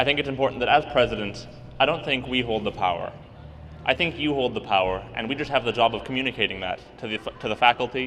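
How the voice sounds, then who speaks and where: This man talks very fast. His voice sits at a medium pitch and varies in an ordinary way. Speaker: student government candidate. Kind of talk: campaign speech. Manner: loud.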